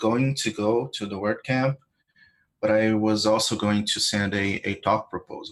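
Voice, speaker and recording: A man speaks with a Brazilian accent. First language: Portuguese. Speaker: WordPress plugin developer. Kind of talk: interview.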